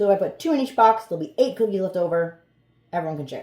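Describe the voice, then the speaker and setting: The woman's intonation is lively as she talks. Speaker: home baker starting a small cookie business. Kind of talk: casual vlog narration while baking. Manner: fast; casual, thinking aloud.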